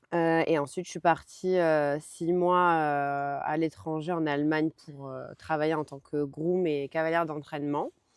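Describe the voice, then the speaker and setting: In a very clean recording with a silent background, a woman with a very deep, low pitch speaks at a fairly slow pace, with fairly even intonation, hardly any pauses, and big swings in loudness. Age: 30s. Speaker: horse rider and former riding instructor. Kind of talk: testimony interview. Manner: hesitant, many fillers.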